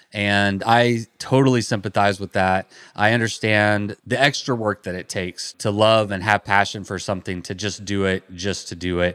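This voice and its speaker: A man with an American accent and an ordinary speaking voice talks at a moderate pace in a fairly low pitch with fairly even intonation, dry and close with no echo on a very clean, silent background. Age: 40s. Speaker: podcast host. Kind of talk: podcast intro and outro monologue.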